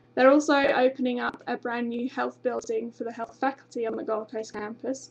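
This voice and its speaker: Her voice is high-pitched, with monotone, flat intonation. The woman talks at a fairly quick pace. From UK. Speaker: university international recruitment representative. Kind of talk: informational webinar presentation. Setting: live webinar stream. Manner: frequent hesitations (um).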